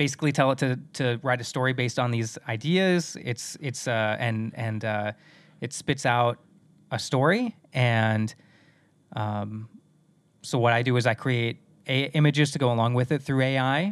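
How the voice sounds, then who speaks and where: An unremarkable speaking voice with an American accent talks at a moderate pace with ordinary pitch variation. The recording is very clean, with a silent background. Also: man, medium pitch for a man. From US Midwest, South Dakota. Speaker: voice actor. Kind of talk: casual chat. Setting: home recording booth.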